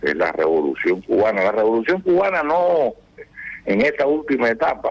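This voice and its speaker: A man at a fairly slow pace, with noticeable background noise behind him. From Cuba. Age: 80s+. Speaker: retired general and author. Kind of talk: radio interview.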